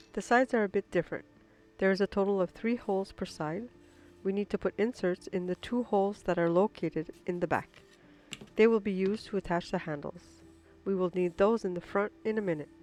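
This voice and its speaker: A woman's medium-pitched voice, fairly quick and fairly even in intonation, dry and close with no echo, with music in the background. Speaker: maker, 3D printer designer. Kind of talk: tutorial.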